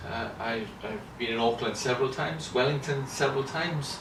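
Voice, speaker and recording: A man with a Welsh accent and medium pitch, with audible room echo and noticeable background noise. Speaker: children's ministry lecturer. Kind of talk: interview. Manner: halting, many fillers and repetitions.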